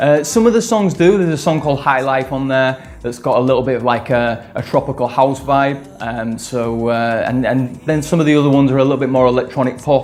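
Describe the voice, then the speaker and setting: A man at a medium pitch, fairly quick in pace with hardly any pauses and ordinary pitch variation, over music in the background. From northern England, Leeds. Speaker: electronic music producer and singer. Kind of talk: interview. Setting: studio. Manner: hesitant, many fillers.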